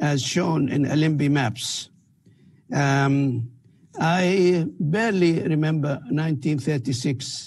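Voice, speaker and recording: A somewhat breathy man with a fairly high pitch and ordinary pitch variation. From Palestine, Beersheba district near Gaza. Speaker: researcher. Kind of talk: interview testimony.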